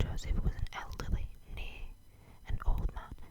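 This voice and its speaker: A woman is whispering. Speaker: ASMR creator. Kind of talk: audiobook-style reading of a classic novel, ASMR. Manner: whispered, soft.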